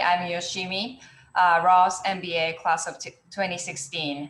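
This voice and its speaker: This woman speaks at a fairly low pitch with a Japanese accent. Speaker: venture capital partnerships director, panelist. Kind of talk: panel discussion over video call. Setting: video call.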